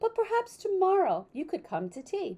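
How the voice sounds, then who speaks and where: A woman does a put-on character voice, squeaky and extremely high in pitch, at a moderate pace. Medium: read story.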